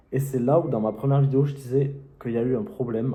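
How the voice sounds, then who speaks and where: A man of medium pitch at a moderate pace, with audible room echo. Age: young. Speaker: YouTuber and self-published author. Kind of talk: casual vlog tutorial. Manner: hesitant, many fillers.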